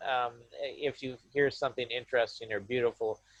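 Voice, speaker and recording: A man with a Midwestern US accent speaks at a medium pitch and a fairly slow pace, the sound dry and close with no echo. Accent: American Midwestern English. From US Midwest, Michigan. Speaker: university lecturer. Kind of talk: webinar talk. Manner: hesitant, repeats words.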